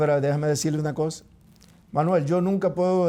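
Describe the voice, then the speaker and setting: A man's dark, mellow tone sits at a fairly high pitch, with ordinary pitch variation. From Dominican Republic, Neiba. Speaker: talk show host. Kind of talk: heated debate. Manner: animated.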